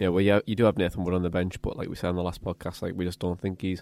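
A man with a Teesside accent speaks with a very deep, low pitch and a dark, mellow tone. The recording is very clean, with a silent background. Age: 20s. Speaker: football podcast host. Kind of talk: casual chat.

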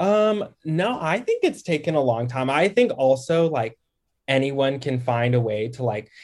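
A man with a plain, everyday voice speaks at a fairly slow pace, his fairly high pitch carried by lively intonation. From Texas, Dallas-Fort Worth. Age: 20s. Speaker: TikTok creator. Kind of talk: casual chat.

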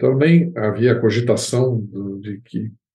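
This man's voice sits at a fairly low pitch, with a dark, mellow tone, some breathiness, and lively intonation. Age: 70s. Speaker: composer and music professor. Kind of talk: interview. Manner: halting.

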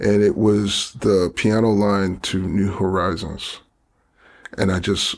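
A man with a New York accent speaks at a fairly low pitch in a monotone, flat delivery. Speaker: DJ and producer. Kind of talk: casual interview.

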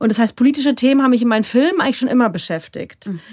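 A plain, everyday voice from a woman, fairly high in pitch with ordinary pitch variation, on a very clean recording with a silent background. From Palatinate, Germany. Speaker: state politician and filmmaker. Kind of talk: interview conversation.

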